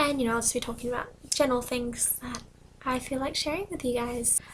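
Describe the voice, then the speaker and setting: A woman speaks in a high pitch. She is soft-spoken. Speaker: book vlogger. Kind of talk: casual talk to camera.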